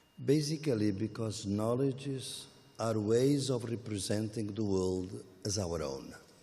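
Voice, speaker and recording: A man with a Portuguese accent speaks at a fairly slow pace and a fairly low pitch, with ordinary pitch variation. Audible room echo surrounds the voice. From Portugal. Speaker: academic speaker. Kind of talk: panel dialogue. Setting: public event at a gallery.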